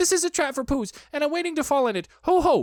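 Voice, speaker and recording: In a put-on character voice, a man speaks squeaky and at an extremely high pitch, racing at a very fast pace on a very clean recording with a silent background. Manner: very fast, squeaky; gleeful, trying to sound sly.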